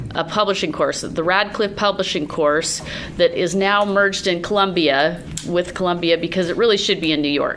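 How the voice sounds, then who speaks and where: A woman speaks at a medium pitch and a moderate pace, with ordinary pitch variation. There is noticeable background noise. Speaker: writer and editor. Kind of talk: talk to academic group. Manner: loud.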